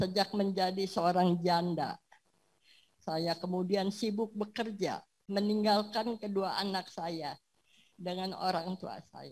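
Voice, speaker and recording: Somewhat breathy and at a medium pitch, a woman speaks at a very slow pace with fairly even intonation and big swings in loudness. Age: 70s. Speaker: church member giving testimony. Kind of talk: testimony.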